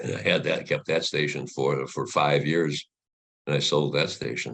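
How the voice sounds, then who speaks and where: Vocal fry runs through this man's voice as he talks at a moderate pace. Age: 90s. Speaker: retired radio broadcaster and voice actor. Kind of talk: interview. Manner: halting, repeats words.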